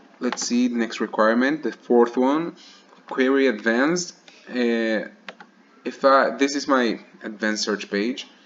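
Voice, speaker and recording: A man talks at a fairly slow pace with long, frequent pauses. Noticeable background noise is present. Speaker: student. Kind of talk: screencast demo. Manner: halting, with fillers and restarts.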